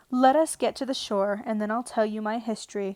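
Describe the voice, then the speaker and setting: Putting on a shrill character voice, a woman talks at a fairly quick pace and a fairly high pitch. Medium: read story. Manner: passionate, indignant.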